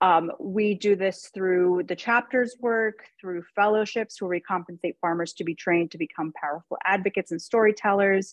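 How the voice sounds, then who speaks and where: This woman has a normal speaking voice. Her intonation is fairly even and her pace moderate. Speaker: nonprofit policy advocate. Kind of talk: webinar presentation.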